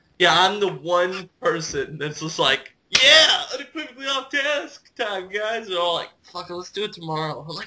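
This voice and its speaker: A raised, projected voice moves at a moderate pace with hardly any pauses and very wide pitch swings. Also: man, high pitch for a man. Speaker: podcast co-host. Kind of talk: casual chat.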